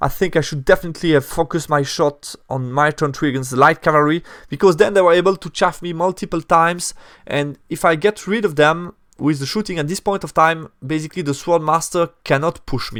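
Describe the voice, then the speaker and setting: A man with a non-native accent and a fairly high pitch, talking at a fairly quick pace with ordinary pitch variation, recorded dry and close with no echo in a very clean recording with a silent background. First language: not English. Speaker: tabletop wargaming youtuber. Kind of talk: battle report commentary. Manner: hesitant, many fillers and self-corrections.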